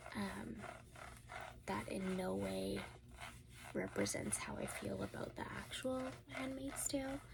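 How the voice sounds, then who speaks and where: Whispering and soft-spoken, a woman talks at a fairly slow pace over noticeable background noise. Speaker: ASMR creator. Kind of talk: ASMR book review. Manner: soft-spoken, whispered.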